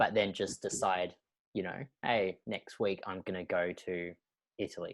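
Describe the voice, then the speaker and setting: A man with an Australian accent speaks in a very deep, low pitch at a moderate pace, his intonation monotone and flat. The recording is very clean with a silent background and a dry, close sound with no echo. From Australia, mid-north coast New South Wales. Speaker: podcast host. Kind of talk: casual chat.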